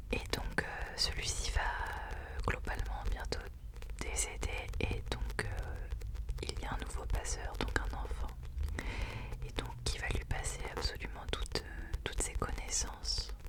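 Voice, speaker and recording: Whispering and soft-spoken, the speaker goes at a very slow pace against noticeable background noise. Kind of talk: whispered ASMR book recommendations, casual talk to camera. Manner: whispered, soft-spoken.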